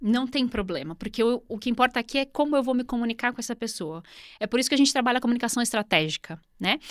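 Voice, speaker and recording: A woman talks very fast in a fairly high pitch with ordinary pitch variation. The sound is dry and close with no echo, and the recording is very clean with a silent background. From Brazil. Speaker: business English mentor. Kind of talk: interview.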